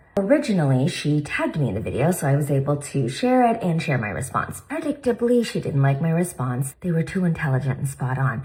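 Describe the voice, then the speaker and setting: A woman talks at a fairly quick pace, her voice somewhat breathy. Her pitch swings very widely. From India. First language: not English. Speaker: plastic surgeon and commentary creator. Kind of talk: reaction commentary.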